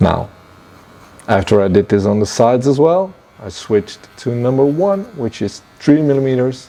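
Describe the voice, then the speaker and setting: Lively intonation and a moderate pace in a non-native accent, over noticeable background noise. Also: man, medium pitch for a man. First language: not English. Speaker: barber. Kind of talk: tutorial.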